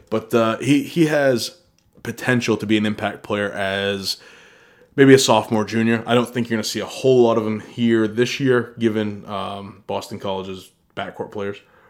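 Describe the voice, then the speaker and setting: A medium-pitched man with an American accent, moderate pace and fairly even intonation. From US Northeast (northern Maine, New England). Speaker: sports podcast host. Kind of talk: solo sports commentary podcast. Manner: casual, ranting.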